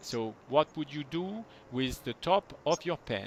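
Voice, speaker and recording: A man in a French accent speaks at a moderate pace, the sound dry and close with no echo. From France. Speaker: movement technique teacher. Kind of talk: one-on-one lesson.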